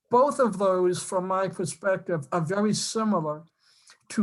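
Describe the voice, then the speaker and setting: Against a quiet background, a woman in a strong Boston accent talks at a medium pitch and a fairly slow pace with ordinary pitch variation. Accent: Boston accent, still strong. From Boston area, Massachusetts. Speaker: council candidate, former college professor. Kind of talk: public meeting self-introduction. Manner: halting, many fillers and restarts.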